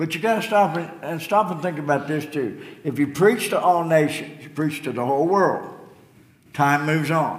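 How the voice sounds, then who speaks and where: A man with a fairly high pitch speaks at a moderate pace with ordinary pitch variation over noticeable background noise. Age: 70s. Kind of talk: sermon. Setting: church.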